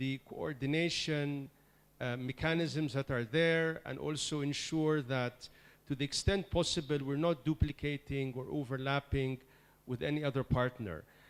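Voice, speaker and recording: Ordinary pitch variation in a man's fairly high voice, with a very clean recording and a silent background. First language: not English. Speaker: senior official of a UN agency. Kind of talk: meeting speech. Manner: emphatic; hesitant fillers.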